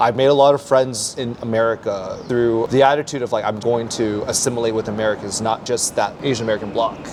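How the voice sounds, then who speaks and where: Over noticeable background noise, the speech runs at a very fast pace with hardly any pauses and fairly even intonation. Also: man, medium pitch for a man. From US West Coast, Palo Alto. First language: Mandarin Chinese. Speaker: English teacher. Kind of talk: interview. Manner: casual.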